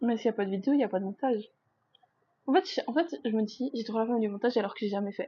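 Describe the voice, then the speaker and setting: Very fast yet full of long, frequent pauses, a woman's fairly high voice shows ordinary pitch variation. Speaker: vlogger. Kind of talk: casual vlog monologue. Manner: loud; chatty, hesitant with fillers. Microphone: sounds quiet on mic.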